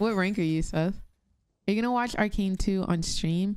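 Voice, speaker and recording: With light background noise and a dry sound with no echo, a woman speaks at a fairly slow pace. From US South, Atlanta, Georgia. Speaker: gaming streamer. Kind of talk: live gameplay commentary and chat reading. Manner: casual, animated. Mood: relaxed, chill. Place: home room.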